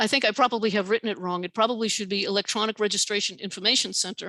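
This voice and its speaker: A woman's bright, sharp voice at medium pitch, very fast pace and fairly even intonation, over a quiet background. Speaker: professor and author giving a talk. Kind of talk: lecture with Q&A. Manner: hesitant with fillers.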